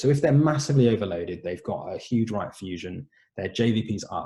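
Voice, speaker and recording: This man talks at a very fast pace, his pitch swinging very widely. His tone is dark and mellow, and somewhat breathy. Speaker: doctor presenting webinar talk. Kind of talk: lecture. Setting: online webinar.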